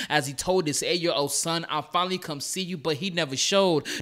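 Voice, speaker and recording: The tone is bright and sharp, with an American accent. The pace is very fast. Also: man. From Chicago South Side. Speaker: slam poet. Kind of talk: spoken word poetry performance. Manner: animated.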